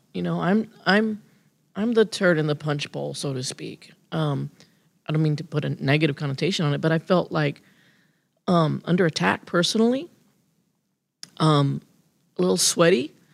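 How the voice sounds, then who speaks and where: A woman's very deep, low pitch with lively intonation, a moderate pace and long, frequent pauses. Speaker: state legislator. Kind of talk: interview. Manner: halting.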